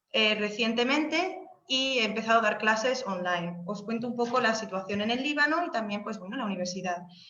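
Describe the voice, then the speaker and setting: With audible room echo around her, a woman speaks at a fairly quick pace in a fairly high pitch with lively intonation. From Spain, Seville. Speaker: Spanish language lecturer abroad. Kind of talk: informational webinar talk. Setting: video call webinar. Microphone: unstable internet connection.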